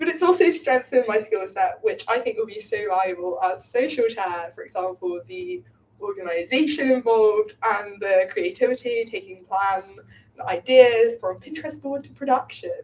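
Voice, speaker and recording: A woman with an English accent, fairly high in pitch, at a moderate pace. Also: big swings in loudness. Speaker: student election candidate. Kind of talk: election hustings speech.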